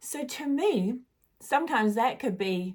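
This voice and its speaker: Lively intonation from a woman with a New Zealand accent, a very clean recording with a silent background. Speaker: spiritual guide. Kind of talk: casual spiritual monologue.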